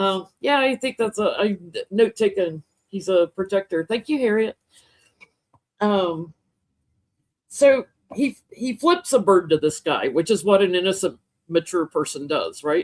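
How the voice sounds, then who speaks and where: A woman with an American accent talks at medium pitch, fairly slowly, with long, frequent pauses. Her intonation is lively and her tone animated. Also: dry, close sound with no echo. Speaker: tarot reader. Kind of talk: casual chat. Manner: loud.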